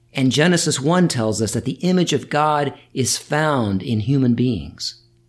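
In a plain, everyday voice, a man talks at a fairly slow pace with medium pitch and lively intonation, on a very clean recording with a silent background. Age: 50s. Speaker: podcast host, Bible study teacher. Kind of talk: reflective monologue.

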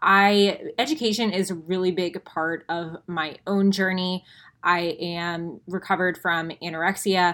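A woman with an ordinary speaking voice, medium-pitched and fairly even in intonation, at a fairly slow pace in a very clean recording with a silent background. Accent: American. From Florida, Tampa. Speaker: podcast co-host, nutrition coach. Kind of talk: casual chat.

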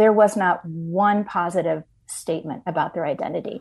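Against a quiet background, a woman uses a plain, everyday voice, fairly low, with ordinary pitch variation at a moderate pace. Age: 60s. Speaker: ministry leader, author and speaker. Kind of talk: interview testimony.

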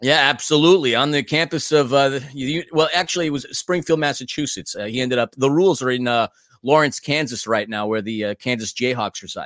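Speaking at a very fast pace with hardly any pauses, a man with an American accent uses ordinary pitch variation. The sound is dry and close with no echo, on a very clean recording with a silent background. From New York City. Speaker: podcast host. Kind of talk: casual podcast chat.

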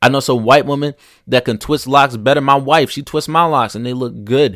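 A man with an American accent, animated in tone, at a moderate pace with ordinary pitch variation, in a very clean recording with a silent background. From rural United States. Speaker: podcast host. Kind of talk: casual monologue.

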